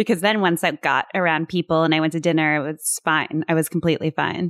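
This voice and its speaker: In a very clean recording with a silent background and a dry, close sound with no echo, a woman with an unremarkable speaking voice and fairly low pitch speaks at a fairly quick pace with fairly even intonation. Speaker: podcast co-host. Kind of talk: casual chat.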